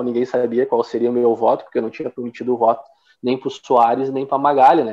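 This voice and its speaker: Medium-pitched male speech, fairly quick and delivered in a flat monotone. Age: 30s. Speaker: city councillor. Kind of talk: interview.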